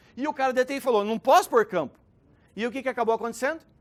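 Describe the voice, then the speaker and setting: In an animated tone, a man speaks at an extremely high pitch. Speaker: speaker at a business talk event. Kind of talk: conference talk. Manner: fast.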